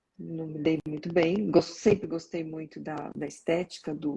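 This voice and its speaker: Vocal fry runs through a dark, mellow tone that moves at a very slow pace with fairly even intonation. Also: woman. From São Paulo, Brazil. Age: 60s. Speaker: organizational development consultant. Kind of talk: casual interview.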